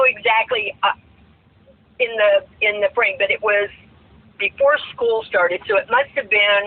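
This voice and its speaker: Speaking at a fairly slow pace with an American accent, a woman has a fairly high voice, and noticeable background noise is present. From South Florida. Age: 60s. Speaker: retired teacher and full-time RVer. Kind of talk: casual chat.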